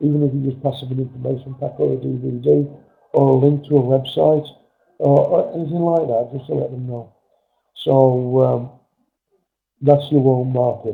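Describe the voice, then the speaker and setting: Speaking with an English accent, a man keeps a medium pitch and a moderate pace. His delivery has long, frequent pauses. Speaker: network marketing trainer. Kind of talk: webinar training presentation. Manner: halting with many fillers.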